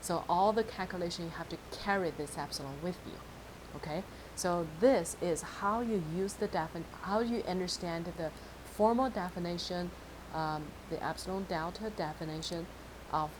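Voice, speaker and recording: Set in audible room echo, a woman speaks at a fairly low pitch. Her pace is moderate and her pitch variation ordinary. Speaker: math teacher. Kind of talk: lecture.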